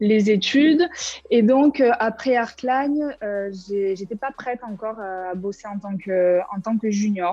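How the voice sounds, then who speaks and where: Music plays in the background. A woman speaks at a very slow pace with ordinary pitch variation. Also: fairly high pitch for a woman. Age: 20s. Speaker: former student, graphic designer. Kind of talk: interview testimony. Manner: casual, hesitant with many fillers.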